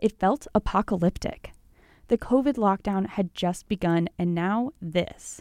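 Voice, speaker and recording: Her voice is a plain, everyday voice: a woman with an American accent at medium pitch and ordinary pitch variation, heard on a very clean recording with a silent background and a dry, close sound with no echo. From Colorado. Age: 20s. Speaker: radio commentator. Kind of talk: scripted narration.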